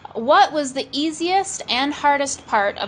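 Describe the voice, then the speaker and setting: A woman's high-pitched voice with an American accent, lively intonation and a fairly slow pace, over noticeable background noise. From Wisconsin, US (Boscobel). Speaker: expat vlogger. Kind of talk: casual chat.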